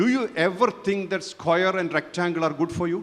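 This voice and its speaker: A man's voice with ordinary pitch variation. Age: 60s. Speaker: spiritual teacher. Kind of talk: conference talk.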